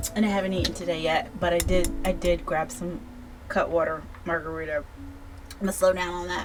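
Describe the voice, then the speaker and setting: With music in the background, a woman with a fairly low pitch speaks at a fairly quick pace broken by long, frequent pauses. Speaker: book reviewer. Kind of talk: casual review monologue. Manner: halting, stumbling over words.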